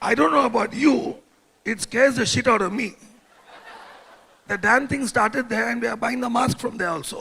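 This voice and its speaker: At a moderate pace with long, frequent pauses, a man projects a raised voice of extremely high pitch with ordinary variation. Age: old. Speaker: direct selling executive. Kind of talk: motivational talk. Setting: stage with audience. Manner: animated.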